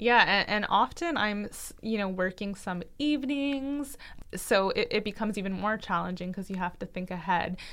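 A woman with a Canadian accent speaks at a moderate pace in a medium pitch. She has an unremarkable speaking voice with lively intonation. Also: very clean recording, silent background. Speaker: dietitian and podcast co-host. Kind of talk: casual chat.

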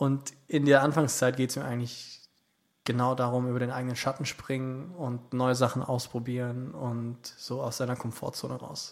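A man speaks in a medium pitch and monotone, flat intonation, moving at a moderate pace. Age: 20s. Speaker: singer-songwriter. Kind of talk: casual interview. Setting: podcast studio.

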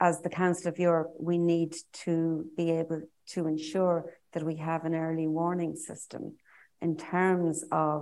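Very slowly and in a flat monotone, a woman with an Irish accent speaks at a fairly low pitch. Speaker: politician. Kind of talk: panel discussion.

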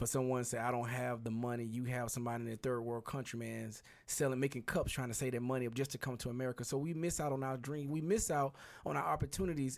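A man speaks at a very fast pace with a medium pitch and fairly even intonation. The recording is very clean, with a silent background. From Birmingham, Alabama. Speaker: real estate investor. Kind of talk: casual interview.

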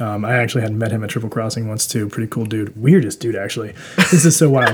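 Talking at a very fast clip, a man with a medium-pitched voice and an American accent uses ordinary pitch variation over noticeable background noise. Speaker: brewery worker. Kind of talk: casual chat. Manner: calm.

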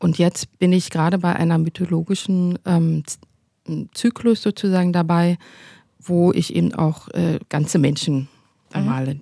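A woman speaks at a fairly slow pace in a dark, mellow, somewhat breathy tone, with ordinary pitch variation and a dry, close sound with no echo. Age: 40s. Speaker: painter and doctoral student. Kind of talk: interview conversation.

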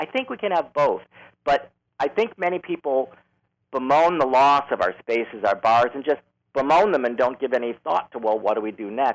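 At a moderate pace, a man with a fairly high voice speaks with lively intonation. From Chicago, US Midwest. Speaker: leather community activist. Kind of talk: interview.

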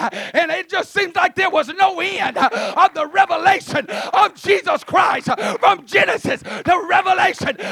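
The voice is loud and animated at a moderate pace. Noticeable background noise runs underneath. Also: man, dry, close sound with no echo. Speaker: visiting preacher. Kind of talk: sermon. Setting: church.

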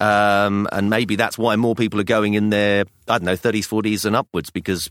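A man with a southern English accent speaks at a fairly quick pace and fairly low pitch, in a dry, close sound with no echo on a very clean recording with a silent background. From London, England. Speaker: podcast co-host, theatre actor, father. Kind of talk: casual chat.

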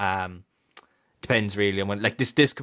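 Speech comes at a very fast pace in a Kerry accent, flat and monotone. The tone is bright and sharp. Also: man. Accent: Kerry Irish. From Ireland, County Kerry. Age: 20s. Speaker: sports podcast host. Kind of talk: casual sports chat. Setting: recording over Skype. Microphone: better mic, records locally.

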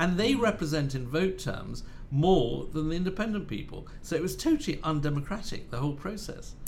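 Using a British accent, a man with a high voice talks at a fairly quick pace with lively intonation and hardly any pauses. Room echo is audible. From Spain and Britain, born in Madrid. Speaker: journalist and author. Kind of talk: casual chat. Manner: halting, many repeated words.

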